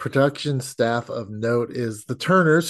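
Here is a man with a normal speaking voice at a moderate pace. The background is quiet. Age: 50s. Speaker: podcast host. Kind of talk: casual chat.

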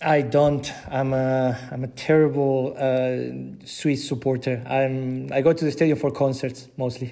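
A man with a Spanish accent at a fairly slow pace, flat and monotone in intonation, with hardly any pauses and a dark, mellow tone. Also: medium pitch for a man. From Argentina, Buenos Aires. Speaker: digital content leader, former sports journalist. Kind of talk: interview.

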